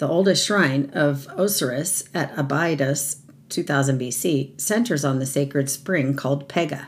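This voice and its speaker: Her pitch is very deep and low for a woman, marked by vocal fry. She speaks at a fairly slow pace with lively intonation. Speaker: mythology segment presenter. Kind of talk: scripted narration.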